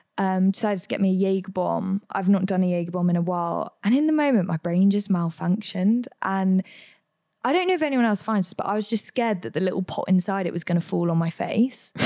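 A woman's dark, mellow tone with an English accent, at a very fast pace. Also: medium pitch for a woman, ordinary pitch variation. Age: 20s. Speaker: podcast co-host. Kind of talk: casual chat. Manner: animated.

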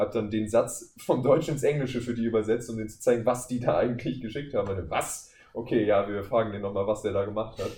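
Amid noticeable background noise, a man of medium pitch speaks at a very fast pace with hardly any pauses and ordinary pitch variation. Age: 20s. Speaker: voice actor. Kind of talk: casual chat.

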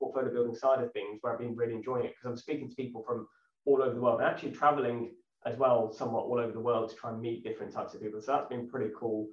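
A man's medium-pitched voice at a fast pace, slightly mellow in tone, with fairly even intonation and audible room echo.

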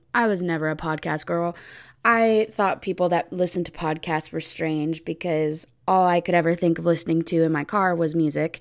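In a West Coast accent, a woman speaks at a fairly low pitch with fairly even intonation, on a very clean recording with a silent background. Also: moderate pace. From US Pacific Northwest, Oregon. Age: 20s. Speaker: podcast host, special education teacher. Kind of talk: casual solo podcast monologue.

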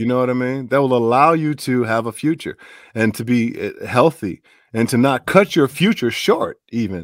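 With an American accent, a man speaks at a medium pitch and a moderate pace in an unremarkable speaking voice, with ordinary pitch variation and a dry, close sound with no echo. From Chicago. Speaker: voice actor. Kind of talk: interview. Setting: video call.

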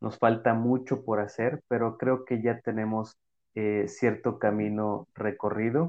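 His intonation remains fairly even. The man's pitch sits in the medium range. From Mexico. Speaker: podcast host, physical education teacher. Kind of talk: casual interview.

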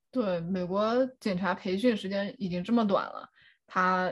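The voice is somewhat breathy, with ordinary pitch variation, over a quiet background. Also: woman. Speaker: clinical psychology doctoral candidate. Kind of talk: casual chat.

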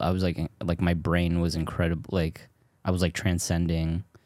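A man with an American accent talks in a very deep, low pitch. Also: very clean recording, silent background. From US Pacific Northwest, southern Washington. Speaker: stand-up comedian. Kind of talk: casual chat.

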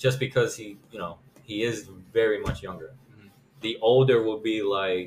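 A man talks at a moderate pace in a somewhat breathy voice with fairly even intonation and big swings in loudness. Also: medium pitch for a man. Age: 20s. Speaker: podcast co-host. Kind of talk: casual chat.

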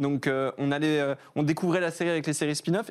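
A man speaks in an unremarkable speaking voice with fairly even intonation. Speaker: online video creator. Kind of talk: casual chat.

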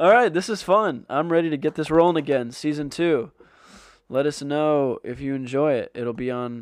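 A man talks in a normal speaking voice with fairly high pitch and ordinary pitch variation. His pace is moderate, and the background is quiet. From Canada. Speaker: college runner and podcast co-host. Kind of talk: casual chat.

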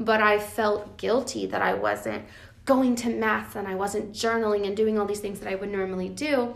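Her speech comes at a moderate pace. The room echo around this woman is audible. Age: 20s. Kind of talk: casual faith conversation.

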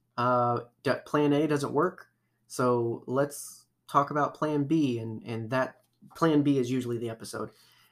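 A man talks with fairly even intonation in an ordinary speaking voice. The recording is very clean, with a silent background. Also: medium pitch for a man, fairly slow pace. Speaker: podcast host. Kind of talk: casual chat. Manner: chatty, filler-heavy.

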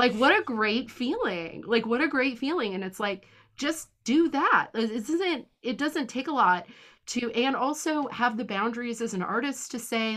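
A woman's animated, fairly high voice at a moderate pace, with ordinary pitch variation, against a quiet background. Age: 30s. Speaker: podcast host. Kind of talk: casual chat.

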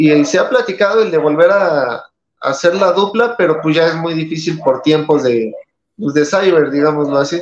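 Speaking at a moderate pace, a man has an unremarkable speaking voice, fairly high in pitch with ordinary pitch variation. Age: 30s. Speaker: professional wrestler. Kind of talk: interview.

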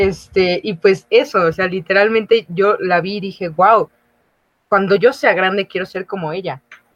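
A woman with an ordinary speaking voice talks fairly slowly at a medium pitch, her pitch varying in an ordinary way while her loudness swings widely. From Mexico, outside Mexico City. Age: 20s. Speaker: recent university graduate. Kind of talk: casual chat.

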